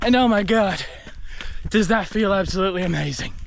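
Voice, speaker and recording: A man with an Australian accent over noticeable background noise. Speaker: vlogger, documentary filmmaker. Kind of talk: casual vlog monologue. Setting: outdoors on a run. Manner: casual, filler-heavy.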